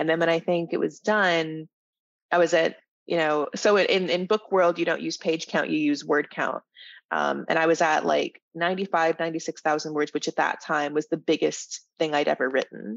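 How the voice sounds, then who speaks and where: At a moderate pace, a woman speaks in a fairly low voice with vocal fry and fairly even intonation. The recording is dry and close, with no echo and a quiet background. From Atlanta. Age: 20s. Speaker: novelist. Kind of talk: interview.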